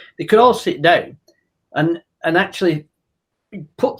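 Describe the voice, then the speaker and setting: A high-pitched male voice with lively intonation at a moderate pace. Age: 60s. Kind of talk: casual discussion. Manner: halting, many restarts.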